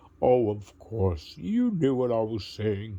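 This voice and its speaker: In a put-on character voice, a man speaks at a fairly slow pace with very wide pitch swings. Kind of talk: bedtime story. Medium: read story. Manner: warm, friendly, gentle.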